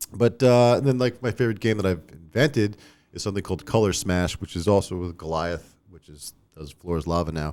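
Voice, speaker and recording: A man with a Long Island accent speaks at a fairly quick pace in a very deep, low voice, his intonation lively and his loudness swinging widely. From US Northeast, Long Island, New York. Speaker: toy designer and company owner. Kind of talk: casual podcast interview. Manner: casual, filler-heavy.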